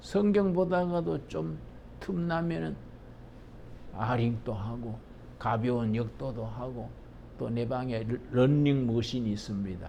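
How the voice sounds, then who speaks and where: Speaking at a very slow pace with long, frequent pauses, a man uses very wide pitch swings in a dark, mellow, somewhat breathy tone, with audible room echo. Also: medium pitch for a man. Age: 80s+. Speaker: pastor. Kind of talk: lecture; sermon.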